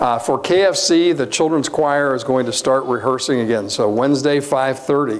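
A man talks at a fairly slow pace with ordinary pitch variation and very even loudness. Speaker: pastor. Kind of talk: church announcements. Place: church. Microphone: lapel.

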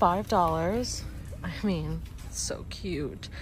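Dry, echo-free female speech against noticeable background noise. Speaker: lifestyle vlogger. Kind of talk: casual vlog chat. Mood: cheerful, delighted. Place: shop. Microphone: phone near.

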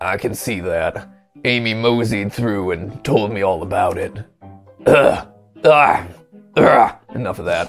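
Using a raspy, put-on character voice at medium pitch, a man talks at a fairly slow pace with long, frequent pauses while faint music plays in the background. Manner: staying in character, playful.

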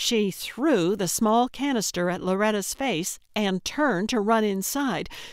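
Here the text is given a plain reading aloud.

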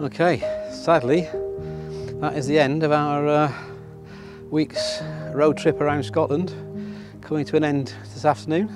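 Over clear background music, a man speaks at a fairly slow pace with long, frequent pauses, and the sound is dry with no echo. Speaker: photography vlogger. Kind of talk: casual vlog chat. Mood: relaxed, slightly wistful. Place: waterside.

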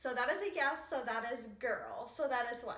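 A woman's bright, sharp voice carries audible room echo. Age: 20s. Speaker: vlogger. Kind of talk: casual vlog to camera. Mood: cheerful, playful. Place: home room. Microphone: camera far.

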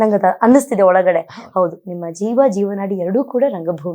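A woman's voice has a dark, mellow tone and ordinary pitch variation. The recording is very clean, with a silent background. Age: 20s. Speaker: interviewer. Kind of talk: interview.

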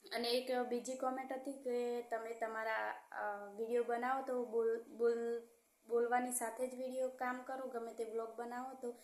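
Soft-spoken and high-pitched, a woman talks in a monotone, flat way. Room echo is audible. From Gujarat, Aravalli district. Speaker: vlogger. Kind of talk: casual vlog talk. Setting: rented room at home. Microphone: voice recorded too quietly.

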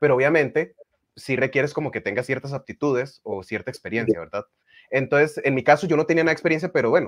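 A man at a fairly high pitch, very fast pace and ordinary pitch variation, against a quiet background. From Costa Rica. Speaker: magician and radio announcer; radio announcer. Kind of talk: casual interview. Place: home room. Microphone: video call.

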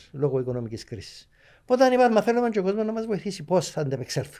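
A man with a Cypriot accent speaks at a fairly quick pace in a dark, mellow tone, his pitch swinging very widely over a quiet background. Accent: Cypriot Greek. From Cyprus. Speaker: author and journalist; journalist. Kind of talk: interview. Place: studio. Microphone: studio mic.

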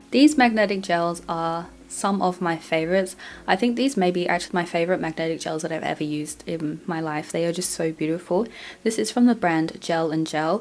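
A woman talks at a fairly quick pace in an ordinary speaking voice. Her pitch sits fairly low, with ordinary variation. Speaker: nail product reviewer. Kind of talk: product review narration.

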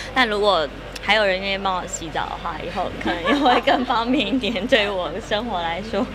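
Loud background noise surrounds a woman's voice. She talks at a moderate pace with lively intonation. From Taiwan. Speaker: actress. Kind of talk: interview answer. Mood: cheerful, playful. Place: shop. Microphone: handheld.

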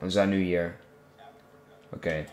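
A man's voice against noticeable background noise. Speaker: gaming YouTuber. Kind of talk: casual gameplay commentary. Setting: home recording, gameplay video. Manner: animated.

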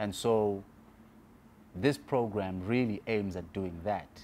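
Slightly mellow in tone, a man speaks at a fairly slow pace with fairly low pitch and ordinary pitch variation.

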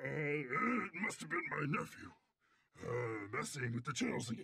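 A man's fairly high voice with very wide swings in pitch. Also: moderate pace. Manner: folksy, evasive.

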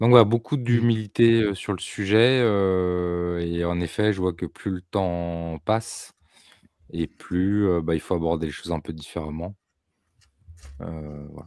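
Very deep and low, a man's voice moves at a very slow pace with long, frequent pauses. The sound is dry with no echo, over a quiet background. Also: ordinary pitch variation. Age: 40s. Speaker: homesteading content creator; podcast guest. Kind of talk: casual chat. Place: home room. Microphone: video call.

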